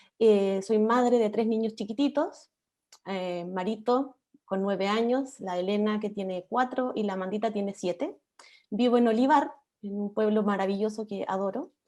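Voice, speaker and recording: A woman has a plain, everyday voice, a fairly high pitch, ordinary pitch variation and a fairly slow pace. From Chile, Viña del Mar. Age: 40s. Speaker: political candidate, history teacher. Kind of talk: panel discussion.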